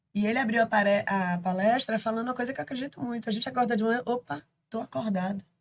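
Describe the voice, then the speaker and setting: A somewhat breathy woman's voice at a very fast pace, with ordinary pitch variation. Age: 60s. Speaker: canoe athlete. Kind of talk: casual chat.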